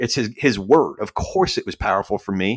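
A man with an American accent talks at a moderate pace in an unremarkable speaking voice, pitched fairly low. The sound is dry and close with no echo, on a very clean recording with a silent background. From New York, Staten Island. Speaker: podcast guest sharing life story. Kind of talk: casual interview chat.

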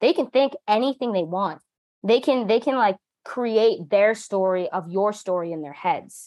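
With an American accent, a woman speaks in an ordinary speaking voice at a fairly high pitch, with lively intonation and a moderate pace. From US Northeast, New Jersey. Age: 20s. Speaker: musician and publicist. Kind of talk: casual interview.

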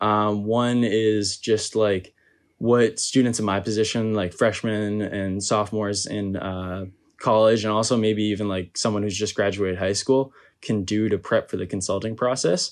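A normal speaking voice from a man with an American accent, fairly low in pitch, with fairly even intonation at a moderate pace over a quiet background. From Massachusetts. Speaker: university student. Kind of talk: interview.

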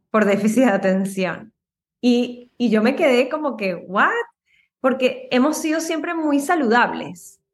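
High-pitched, lively intonation from a woman, with audible room echo. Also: fairly slow pace. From Venezuela. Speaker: Ayurveda practitioner. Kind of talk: casual interview.

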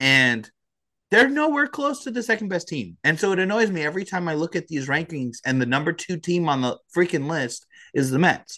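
A man's bright, sharp voice with very wide pitch swings, a moderate pace and a quiet background. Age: 30s. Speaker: baseball podcast co-host. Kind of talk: casual chat.

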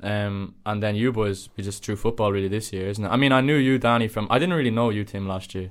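With a Dublin accent, a man talks at a very fast pace with a fairly low pitch and ordinary pitch variation on a very clean recording with a silent background. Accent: Dublin Irish. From Dublin area, Ireland. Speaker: university student. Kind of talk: casual chat.

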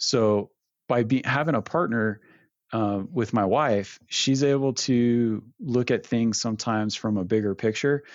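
An unremarkable speaking voice from a man, medium in pitch, at a fairly slow pace with very even loudness and ordinary pitch variation. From Northern California. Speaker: knife maker and small business owner. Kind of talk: interview.

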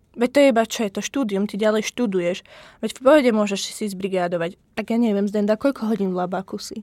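A woman with a Slovak accent talks at a very fast pace in a dark, mellow tone, at a medium pitch with ordinary pitch variation, in a dry, close recording with no echo. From Slovakia. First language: Slovak (speaking Czech). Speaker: podcast host, PhD student. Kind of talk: casual chat.

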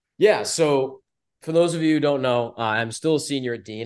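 A man with an American accent speaks in a plain, everyday voice at a moderate pace. His pitch variation is ordinary, and the background is quiet. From US New England. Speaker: team communications director. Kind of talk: interview, casual chat.

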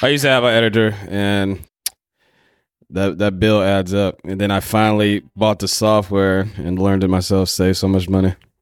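With an ordinary speaking voice, a man talks at a moderate pace and fairly low pitch with fairly even intonation. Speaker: podcast host. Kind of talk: casual chat.

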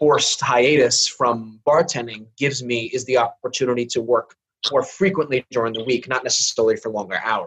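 Somewhat breathy, a man's voice comes through. He speaks at a moderate pace. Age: 40s. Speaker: visual artist and bartender. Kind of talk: casual chat.

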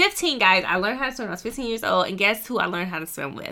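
A bright, sharp tone edged with vocal fry. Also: woman. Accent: American. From North Carolina. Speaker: podcast host and entrepreneur. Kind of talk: casual monologue.

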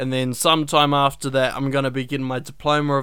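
A man with a New Zealand accent speaks at a medium pitch in a bright, sharp tone, his intonation flat and monotone. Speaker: podcast host and animation student. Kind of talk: casual solo podcast talk.

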